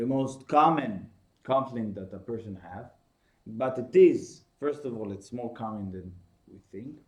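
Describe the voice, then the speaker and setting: With an Israeli accent and lively intonation, the speaker goes at a fairly slow pace, and audible room echo surrounds the voice. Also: man. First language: Hebrew. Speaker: course teacher. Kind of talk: lecture. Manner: halting.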